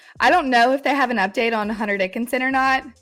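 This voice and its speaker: Music plays behind this woman as she talks. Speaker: college basketball handicapper. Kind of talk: casual chat.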